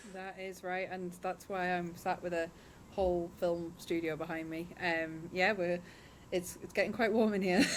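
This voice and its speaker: A woman speaks in a southern English accent at a fairly low pitch. Her intonation is monotone and flat, at a moderate pace. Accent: non-Northeast (southern English). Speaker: studio owner, podcasting business owner. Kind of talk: podcast interview. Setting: film studio, remote.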